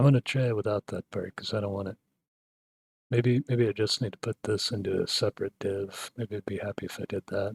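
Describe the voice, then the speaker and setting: In a dry, close sound with no echo, a man speaks fairly quickly and somewhat breathily with fairly even intonation. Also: fairly low pitch for a man. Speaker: tech hobbyist video creator. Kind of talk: screen-recorded coding tutorial. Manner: low-key, few inflections; calm, soothing.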